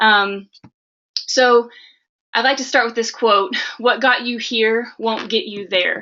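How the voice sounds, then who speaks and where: The speech moves at a very slow pace with long, frequent pauses. Intonation stays fairly even. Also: woman, fairly high pitch for a woman. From Arkansas. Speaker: health coach. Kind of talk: webinar presentation. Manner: many filler words (um, uh).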